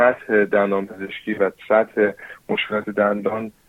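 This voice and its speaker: A man speaks with an English accent at a fairly low pitch. His pace is fairly slow. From New Zealand. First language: English (speaking Persian). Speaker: dentist. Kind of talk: interview. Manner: halting.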